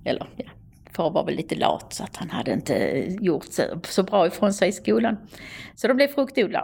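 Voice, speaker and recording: Her pitch swings very widely as the woman talks at a moderate pace with vocal fry. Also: medium pitch for a woman. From Österlen, Skåne, southern Sweden. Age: 60s. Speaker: museum director and storyteller. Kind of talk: interview.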